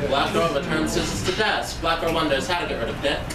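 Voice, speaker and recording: Loud background noise behind a woman's voice. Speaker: spoken word poet. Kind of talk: performed spoken word poem, third-person incantatory litany. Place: bar.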